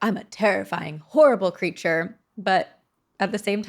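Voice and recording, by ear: Against a quiet background, someone is reading aloud in a natural voice.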